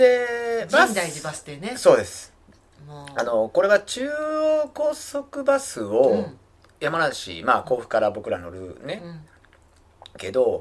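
At a very slow pace, a man speaks with long, frequent pauses and big swings in loudness. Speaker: trail runner and shop manager. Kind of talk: casual chat.

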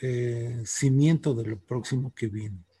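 A man with a dark, mellow tone, somewhat breathy and with ordinary pitch variation, is heard on a very clean recording with a silent background. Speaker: teacher. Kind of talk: interview.

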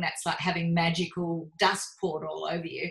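In an Australian accent, a woman talks at a moderate speed. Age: 50s. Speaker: podcast host and coach. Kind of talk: casual chat.

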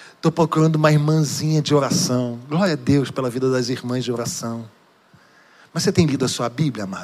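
An unremarkable speaking voice. A man at a medium pitch, with ordinary pitch variation. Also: fairly quick pace. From Rio de Janeiro state, Duque de Caxias. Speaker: pastor. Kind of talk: sermon. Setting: church.

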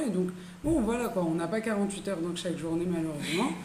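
Speech from a woman amid audible room echo and noticeable background noise, with ordinary pitch variation. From France. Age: 30s. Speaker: entrepreneur. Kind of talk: casual chat.

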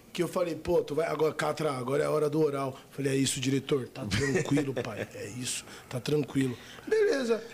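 At a fairly quick pace and with ordinary pitch variation, a man talks through noticeable background noise. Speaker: adult film actor. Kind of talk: casual chat.

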